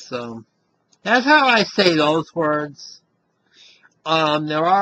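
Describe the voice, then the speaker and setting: Bright and sharp in tone, a man speaks at a very slow pace with lively intonation. He has an American accent. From Western Massachusetts. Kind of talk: casual talk to camera.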